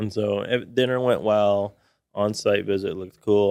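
An ordinary speaking voice, a man with an American accent talks at a fairly low pitch with fairly even intonation in a very clean recording with a silent background. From Austin, Texas. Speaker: business advisor, former business buyer. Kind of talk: podcast interview.

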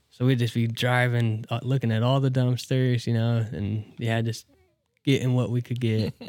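A man with a Midwestern American accent speaks at medium pitch and a moderate pace. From US Midwest, northeast Nebraska. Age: 20s. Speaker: skate shop owner. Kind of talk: casual interview.

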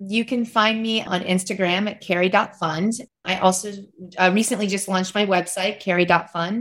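Using a plain, everyday voice, a woman talks at a moderate pace with an American accent. Her medium pitch carries fairly even intonation. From US South, West Virginia. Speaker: author and parenting advocate. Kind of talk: interview conversation.

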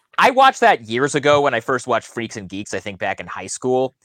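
The speech runs at a very fast pace, with a dry, close sound, no echo and a quiet background. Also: man. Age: 30s. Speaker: NBA reporter. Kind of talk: casual chat.

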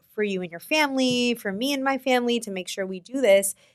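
In a quiet background, a woman with an unremarkable speaking voice talks at a moderate pace with ordinary pitch variation. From New York City. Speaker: yoga and meditation teacher, retreat co-founder. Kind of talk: casual chat.

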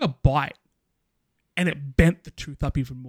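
The sound is dry and close, with no echo. A man with an Australian accent and a fairly high pitch talks at a moderate pace. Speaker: gaming podcaster. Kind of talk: casual chat.

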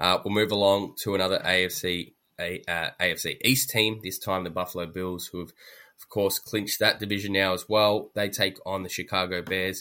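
Heard in a very clean recording with a silent background, a man speaks with an Australian accent at a moderate pace. His fairly low voice has a bright, sharp tone and a monotone, flat intonation. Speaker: sports podcast host. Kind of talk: casual chat.

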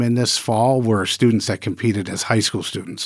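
Speech comes at a very fast pace in a Midwestern US accent. The intonation stays fairly even. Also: man. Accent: US Midwest. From Michigan. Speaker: culinary school dean. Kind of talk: interview. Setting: studio.

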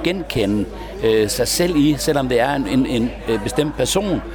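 A man is speaking here. Noticeable background noise and audible room echo surround his voice. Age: 50s. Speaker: troubadour. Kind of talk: interview. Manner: halting, many repetitions.

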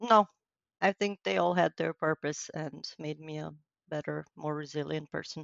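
A woman in a Romanian accent talks at a moderate pace with fairly even intonation. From western Romania, near Hungarian border. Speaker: wedding and event planner. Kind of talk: interview.

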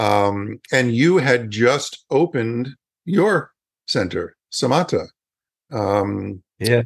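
A man talks at a very slow pace with medium pitch and lively intonation. His loudness stays very even over a quiet background. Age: 60s. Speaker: yoga educator and podcast host. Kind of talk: promotional outro; interview.

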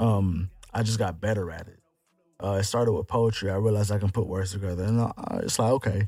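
A man speaks at a very fast pace and a fairly low pitch, his intonation monotone and flat. He sounds somewhat breathy, with big swings in loudness. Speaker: rapper. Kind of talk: casual chat. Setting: studio.

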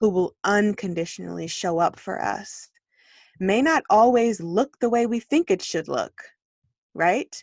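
Against a quiet background, a woman talks at a fairly slow pace and medium pitch with lively intonation, the sound dry and close with no echo. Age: 30s. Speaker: author. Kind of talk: casual chat. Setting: recording in a closet at home. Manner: hushed, keeping it down.

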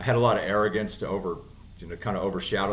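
Fairly even intonation with audible room echo. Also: man. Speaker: inspirational speaker and former inmate in recovery. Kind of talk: interview testimony. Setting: studio.

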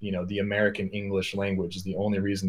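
A somewhat breathy male voice at a very fast pace. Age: 30s. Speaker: music producer and sample library developer. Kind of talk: casual chat. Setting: video call.

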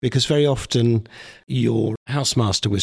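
The voice carries vocal fry and ordinary pitch variation. The recording is very clean, with a silent background. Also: man. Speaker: interviewer. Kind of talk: casual interview.

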